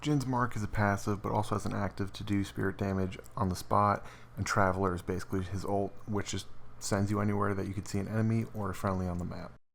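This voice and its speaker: A man talks quietly at a fairly quick pace, his very deep, low pitch showing ordinary pitch variation. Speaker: gaming video creator. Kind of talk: game patch commentary over footage. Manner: quiet, hushed; casual, fast.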